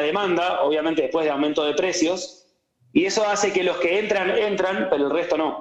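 A man talks at a fairly quick pace in a high pitch. His pitch variation is ordinary. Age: young. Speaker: economist. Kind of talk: casual interview.

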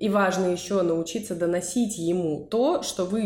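Using a normal speaking voice, a woman talks at a medium pitch with ordinary pitch variation. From Russia, Saint Petersburg. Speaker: podcast co-host, psychologist. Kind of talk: casual chat.

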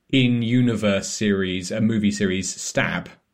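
A man talks in a normal speaking voice. His pitch is fairly low and his intonation fairly even. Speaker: podcast host. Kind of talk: casual chat.

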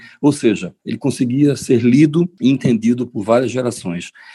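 This man's voice sits at a medium pitch with a dark, mellow tone and ordinary pitch variation. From Recife, Pernambuco, Brazil. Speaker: singer. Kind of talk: interview.

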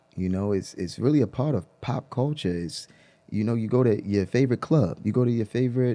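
An ordinary speaking voice from a man with an American accent, medium pitch, lively intonation and a fairly quick pace over a quiet background. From Baltimore, Maryland, US. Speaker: social worker and rapper. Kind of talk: casual interview.

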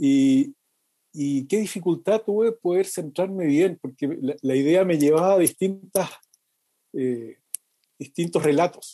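Very slowly and with long, frequent pauses, a man speaks in a high, dark, mellow voice with lively intonation, the sound dry and close with no echo. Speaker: lay preacher. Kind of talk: casual chat.

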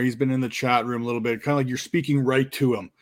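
A man talks very fast at a medium pitch on a very clean recording with a silent background. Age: 30s. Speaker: podcast host. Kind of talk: casual chat.

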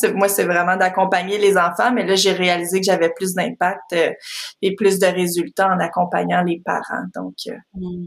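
At a fairly slow pace, a woman speaks in a monotone, flat intonation at a medium pitch. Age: 30s. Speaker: parenting coach. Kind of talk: interview.

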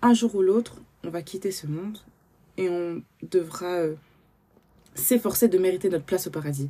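A woman speaks at a moderate pace and a medium pitch. Her tone is dark and mellow. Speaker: podcast host. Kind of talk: personal testimony. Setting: at home, early morning.

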